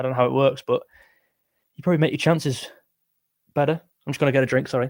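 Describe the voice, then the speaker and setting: The voice is quiet and moves at a very fast pace. Its intonation stays fairly even. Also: man. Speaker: music streamer. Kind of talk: live stream chat.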